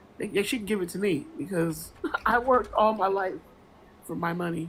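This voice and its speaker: A woman's medium-pitched, somewhat breathy voice at a moderate pace, with lively intonation. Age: 50s. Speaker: caller. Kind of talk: casual chat.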